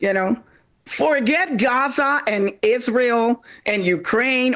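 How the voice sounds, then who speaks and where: A high-pitched woman speaks at a very slow pace, her pitch swinging very widely. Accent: Panamanian. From Panama. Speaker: stand-up comedian. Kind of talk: stand-up.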